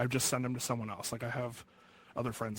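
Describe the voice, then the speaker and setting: The man speaks at a medium pitch. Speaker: shirt designer and printer. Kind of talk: casual chat. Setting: virtual reality voice chat.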